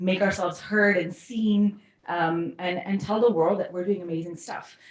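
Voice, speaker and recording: Noticeable background noise behind a woman with a fairly low pitch, talking at a moderate pace. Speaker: case competition coach, ex-consultant. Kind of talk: workshop talk. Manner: loud; animated.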